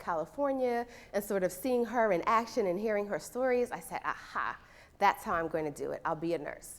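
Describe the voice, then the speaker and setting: With an American accent, a woman speaks at a fairly quick pace with ordinary pitch variation. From New York, Brooklyn. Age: 30s. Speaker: nursing professor. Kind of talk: lecture.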